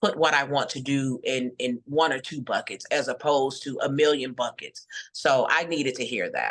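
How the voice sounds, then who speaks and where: A woman talks at a moderate pace. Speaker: entrepreneur pitching a voiceover business. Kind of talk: Q&A feedback session. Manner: halting, repeats words.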